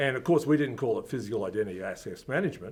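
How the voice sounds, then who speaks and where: With an Australian accent, a man talks at a medium pitch. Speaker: company founder. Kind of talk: interview. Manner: casual, with fillers.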